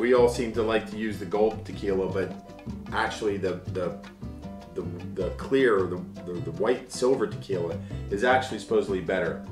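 Over clear background music, a man with an American accent speaks at a moderate pace and fairly low pitch, with ordinary pitch variation and long, frequent pauses. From United States. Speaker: voice actor. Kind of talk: casual talk to camera. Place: home room. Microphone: camera far.

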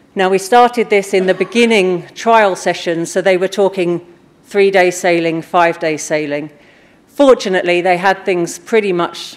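A woman speaks at a moderate pace. Her pitch varies an ordinary amount. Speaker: conference speaker. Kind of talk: conference talk. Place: stage.

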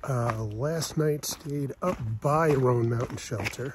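Someone talks at a very slow pace, with noticeable background noise and a dry sound with no echo. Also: man. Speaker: long-distance hiker vlogger. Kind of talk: casual vlog chat. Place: forest. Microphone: phone near.

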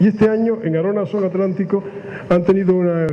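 The voice belongs to a man. Some light noise sits in the background. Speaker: event moderator. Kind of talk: event introduction to audience. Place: hall. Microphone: handheld.

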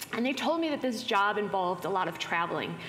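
Over light background noise, a woman speaks at a fairly quick pace with lively intonation. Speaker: keynote speaker. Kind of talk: conference keynote talk. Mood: personal storytelling, light laughs. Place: hall.

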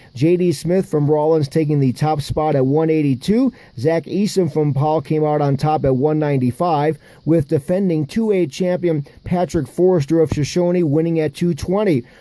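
The voice has a dark, mellow tone, very even loudness, ordinary pitch variation and a fairly slow pace. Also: man, fairly high pitch for a man. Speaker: sports news reader. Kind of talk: sports results reading. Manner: brisk, even newscast delivery; rattling off names and weights in a steady list.

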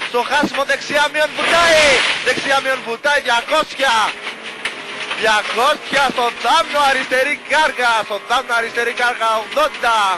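An extremely high-pitched man uses a raised, projected voice and intense tone at a very slow pace, with fairly even intonation, a dry sound with no echo and noticeable background noise. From Greece. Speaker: rally co-driver reading pace notes. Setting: in a rally car on a gravel stage. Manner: tense, intense, with rhythmic delivery and brief praise. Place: car. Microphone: helmet.

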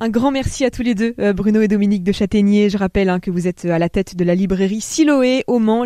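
A moderate pace in a dry sound with no echo, against a quiet background. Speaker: radio host. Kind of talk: radio interview. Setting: studio. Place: studio.

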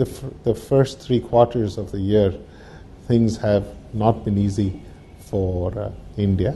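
Over light background noise, a man talks at a fairly slow pace with a fairly low pitch. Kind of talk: interview answer. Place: office.

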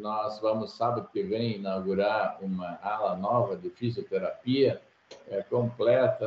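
A man speaks at a very slow pace. The room echo is audible, with light background noise. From Brazil, Rio Grande do Sul (rural interior). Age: 60s. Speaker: agricultural engineer, former company president; podcast guest. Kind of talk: interview. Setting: video call. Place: office. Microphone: video call.

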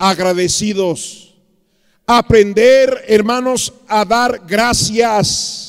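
A man's speech comes through over a quiet background. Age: 50s. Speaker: pastor. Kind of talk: sermon. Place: church. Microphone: handheld.

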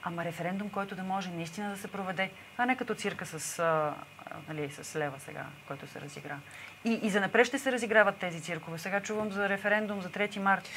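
A woman at a very fast pace, with ordinary pitch variation, big swings in loudness and light background noise. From Bulgaria. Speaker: protest organizer; guest. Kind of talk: TV interview. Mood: indignant, insistent. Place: studio. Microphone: lapel.

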